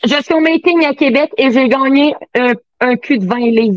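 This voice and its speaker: A woman speaks in a Quebec accent at a high pitch with ordinary pitch variation. The sound is dry and close, with no echo. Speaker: sex toy sales consultant. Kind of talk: casual chat.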